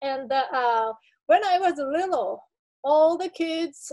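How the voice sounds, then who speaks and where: Speaking very slowly, a woman in a Japanese accent uses ordinary pitch variation. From Japan, small village. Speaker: artist. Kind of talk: artist talk presentation. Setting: video call. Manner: halting.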